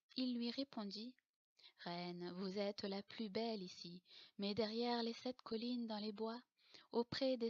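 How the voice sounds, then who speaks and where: Recorded dry and close with no echo, a woman speaks very slowly at a fairly high pitch with ordinary pitch variation. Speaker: storyteller. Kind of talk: bedtime story reading.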